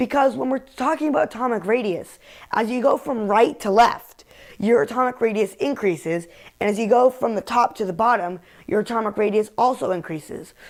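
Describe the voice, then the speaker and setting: With a plain, everyday voice, a woman speaks at a fairly quick pace and a fairly high pitch, using lively intonation. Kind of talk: mock infomercial for a class chemistry project. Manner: upbeat sales pitch.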